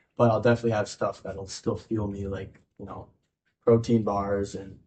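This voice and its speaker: A man with an American accent speaks in a monotone, flat intonation. His dark, mellow tone is somewhat breathy, with big swings in loudness. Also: fairly low pitch for a man, moderate pace. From Minnesota, US. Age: 20s. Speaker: junior hockey player. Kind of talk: interview. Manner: casual, relaxed.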